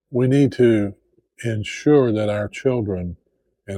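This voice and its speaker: A man with an Appalachian accent, fairly low in pitch, dark and mellow in tone and somewhat breathy, at a very slow pace with ordinary pitch variation. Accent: Southern Appalachian American. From Appalachian Tennessee, USA. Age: old. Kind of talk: casual talk to camera.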